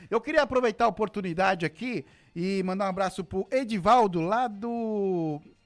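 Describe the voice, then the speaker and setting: Here a man speaks in a high pitch at a moderate pace, with ordinary pitch variation. The recording is very clean, with a silent background. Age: 40s. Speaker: radio host. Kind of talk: radio talk show. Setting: radio studio.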